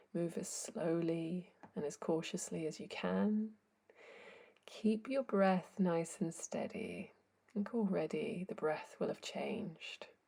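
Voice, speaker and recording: Ordinary pitch variation and a fairly slow pace carry a calm, dark, mellow tone with vocal fry. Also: woman. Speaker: yoga teacher. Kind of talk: guided yoga class instruction. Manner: slow, calm.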